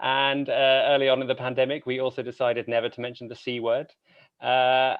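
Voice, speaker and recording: A man speaks with a British accent. His pitch is medium. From Britain. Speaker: podcast host and opera singer. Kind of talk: conference talk. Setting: conference stage.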